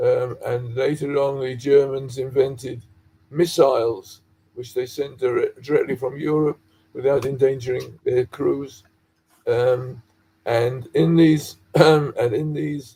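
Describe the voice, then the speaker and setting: Speaking at a very slow pace, a man uses a fairly high, somewhat breathy voice with a dark, mellow tone and fairly even intonation. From London, England. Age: 80s+. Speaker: dye chemist, researcher. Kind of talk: interview, personal history. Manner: halting.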